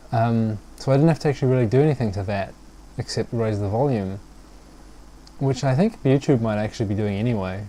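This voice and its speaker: The man's voice has a dark, mellow tone. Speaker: hobbyist video maker. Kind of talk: casual monologue review. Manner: halting, many fillers.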